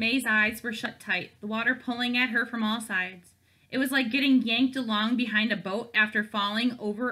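This is plain reading aloud, with the intonation staying fairly even.

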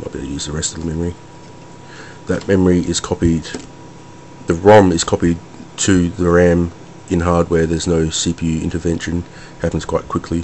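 Over noticeable background noise, a man with a very deep, low voice speaks in a flat monotone, leaving long, frequent pauses. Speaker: hobbyist computer builder. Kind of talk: casual hardware demo to camera.

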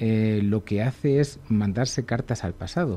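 The tone is dark and mellow. Pitch moves in an ordinary way. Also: man. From Segovia, Spain; Spain. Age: 40s. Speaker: illustrator; radio guest. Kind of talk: radio interview. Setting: radio studio. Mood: humorous, self-deprecating. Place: studio. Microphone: studio mic.

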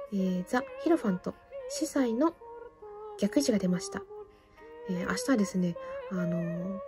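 Music plays in the background as a woman speaks at a moderate pace with long, frequent pauses. Her medium-pitched voice swings very widely in pitch. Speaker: fortune teller; classical soprano singer. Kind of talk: tarot reading to camera.

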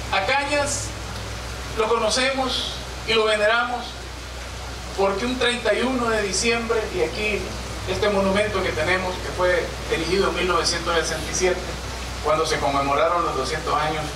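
A man's raised, projected voice at a fairly slow pace, with long, frequent pauses and noticeable background noise. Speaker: mayor giving a commemorative speech. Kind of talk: formal public speech. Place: stage.

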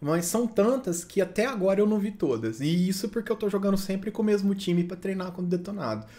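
In a Brazilian accent, a man talks with lively intonation at a high pitch and a fairly quick pace. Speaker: gaming youtuber. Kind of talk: gameplay commentary. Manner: casual, chatty.

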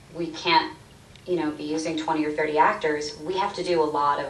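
A woman talks at a very fast pace with very deep, low pitch and fairly even intonation. Light background noise and audible room echo are present. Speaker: voice actor. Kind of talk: interview answer. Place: office.

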